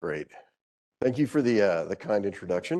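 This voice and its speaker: The speaker has an American accent, a dark, mellow tone and lively intonation. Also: man. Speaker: physician and professor. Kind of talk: lecture.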